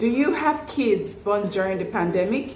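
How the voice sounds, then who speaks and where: A woman's lively intonation comes through audible room echo and noticeable background noise. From Nigeria. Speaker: parenting vlogger. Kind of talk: vlog talk to camera. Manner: warm, chatty.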